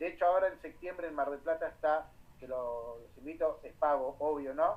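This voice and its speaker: Speaking at a fairly slow pace, a man has a plain, everyday voice with a fairly high pitch. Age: 40s. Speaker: nurse and nursing lecturer. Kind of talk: guest talk to nursing students.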